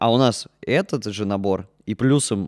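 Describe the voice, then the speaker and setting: With an unremarkable speaking voice, a man talks at a fairly low pitch with ordinary pitch variation, in a very clean recording with a silent background and a dry, close sound with no echo. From Russia, Orenburg. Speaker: puppet theatre actor and musician. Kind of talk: casual chat.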